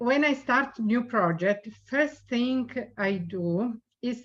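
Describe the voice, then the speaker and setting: A woman speaks with an Italian accent. Her pitch varies in an ordinary way. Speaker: designer. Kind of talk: reading a prepared speech.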